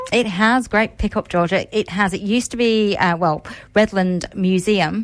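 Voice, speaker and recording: A woman talks at a moderate pace. Her pitch is medium and her intonation fairly even. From England. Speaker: museum events coordinator. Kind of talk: radio interview.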